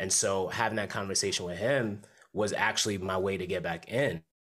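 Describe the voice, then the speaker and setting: A man with an American accent speaks in an unremarkable speaking voice at a fairly low pitch. His pace is moderate, and the recording is very clean with a silent background. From Bridgeport, Connecticut, Jamaican family. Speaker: hip hop artist and corporate worker. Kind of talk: casual interview.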